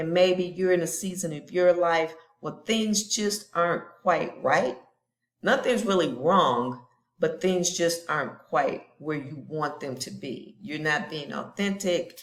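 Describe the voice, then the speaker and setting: At a fairly slow pace, a woman with a fairly low pitch uses a normal speaking voice, ordinary pitch variation, and big swings in loudness. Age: 60s. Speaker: lifestyle vlogger. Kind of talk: personal vlog monologue. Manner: casual, conversational.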